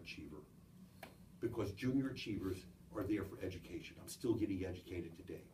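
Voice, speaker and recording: Fairly quick speech amid audible room echo and noticeable background noise. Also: man. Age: 70s. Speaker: business founder. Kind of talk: talk to a group.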